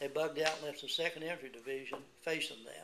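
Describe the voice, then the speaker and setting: A man speaks with an Appalachian accent in a bright, sharp tone. His intonation is monotone and flat. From West Virginia. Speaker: Korean War veteran. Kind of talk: oral history interview answer.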